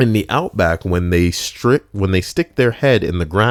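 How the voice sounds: The pitch varies in an ordinary way. It comes from a natural reading voice.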